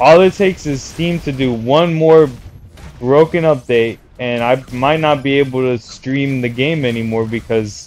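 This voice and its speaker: Medium in pitch for a man, an ordinary speaking voice rises and falls in an ordinary way. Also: fairly slow pace. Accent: American. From New York City. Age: 30s. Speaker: video game streamer. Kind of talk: casual live stream monologue.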